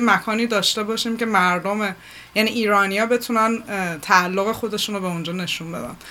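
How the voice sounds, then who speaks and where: A woman with a normal speaking voice talks at a moderate pace, her medium pitch held in fairly even intonation. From Iran. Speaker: multimedia artist and curator. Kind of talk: radio interview. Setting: studio.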